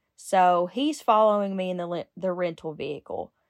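A woman speaks with a Kentucky accent. The recording is very clean with a silent background, and the sound is dry and close with no echo. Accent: southern US (Kentucky). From Kentucky, Lincoln County. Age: 30s. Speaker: recovering addict, rehab worker. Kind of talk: testimony.

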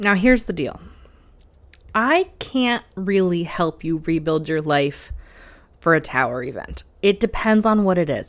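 In a very clean recording with a silent background, a woman with an ordinary speaking voice and a fairly low pitch talks at a moderate pace. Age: 30s. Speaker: tarot and spirituality podcast host. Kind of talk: solo podcast monologue.

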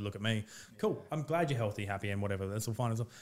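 A fairly low-pitched man at a very fast pace, on a very clean recording with a silent background. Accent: Australian. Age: 30s. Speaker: real estate agent and former fighter. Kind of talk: casual chat.

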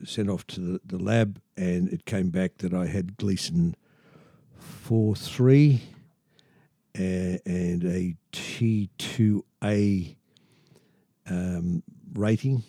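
A man with an Australian accent talks at a very slow pace, leaving long, frequent pauses. His voice is very deep and low, dark and mellow in tone, with ordinary pitch variation and a dry, close sound free of echo. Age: 70s. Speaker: patient with urinary sphincter implant. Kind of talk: casual interview telling his story. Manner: halting, many fillers.

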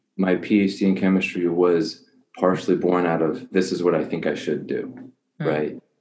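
A man speaks in a dark, mellow tone, with audible echo from the room. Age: 30s. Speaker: life coach for men. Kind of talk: casual interview.

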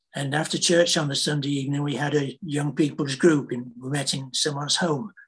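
Somewhat breathy and fairly high-pitched, a man with a British accent speaks at a moderate pace with fairly even intonation. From Britain. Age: 80s+. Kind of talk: testimony.

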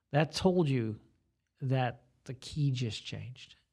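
Somewhat breathy, a man with an American accent speaks at a medium pitch with lively intonation. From Staten Island, New York. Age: 60s. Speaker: guitarist and guitar teacher. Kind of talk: casual interview chat. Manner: talkative.

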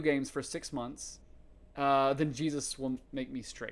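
A man with a fairly high pitch talks at a fairly slow pace in a normal speaking voice, on a very clean recording with a silent background. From US South, rural East Tennessee. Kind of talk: interview testimony.

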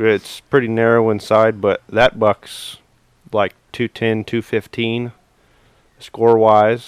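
A man speaks with an American accent at a fairly low pitch. The sound is dry and close, with no echo. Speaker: hunting guide. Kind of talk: casual chat.

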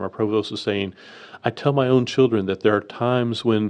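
A man with a normal speaking voice, at a fairly quick pace and ordinary pitch variation, over a quiet background. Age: 50s. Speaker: university student affairs director. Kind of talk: interview.

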